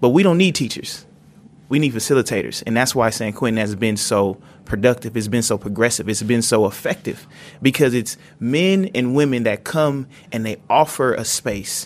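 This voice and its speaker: A man speaks at a medium pitch and a moderate pace, with ordinary pitch variation. He has a normal speaking voice. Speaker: podcast sound designer and inmate. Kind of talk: panel discussion. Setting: prison.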